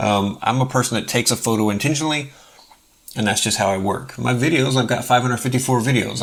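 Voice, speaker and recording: Amid noticeable background noise, a man speaks at a very fast pace and medium pitch with fairly even intonation. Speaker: open source software youtuber. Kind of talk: tutorial. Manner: casual, filler-heavy.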